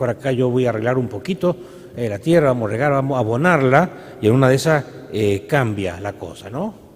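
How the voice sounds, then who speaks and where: A man talks at a moderate pace with lively intonation. Noticeable background noise can be heard. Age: 60s. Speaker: priest. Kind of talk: sermon. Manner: halting.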